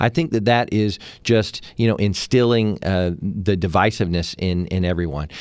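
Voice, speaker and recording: A man speaks at a moderate pace with a fairly low pitch. The background is quiet. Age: 40s. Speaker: politician running for Congress. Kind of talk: radio interview. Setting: studio. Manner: hesitant with many filler words.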